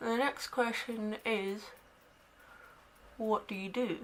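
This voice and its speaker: Very slowly, a woman speaks at a fairly high pitch with fairly even intonation. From Scotland, Dundee. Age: 20s. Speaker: beauty vlogger. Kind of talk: makeup tutorial chat. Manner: casual, chatty.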